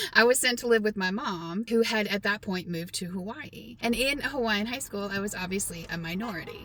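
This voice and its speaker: With an American accent, a woman talks at a fairly quick pace and medium pitch, with ordinary pitch variation and hardly any pauses. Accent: slips in and out of a Southern. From Texas. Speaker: vlogger. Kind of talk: casual storytelling vlog.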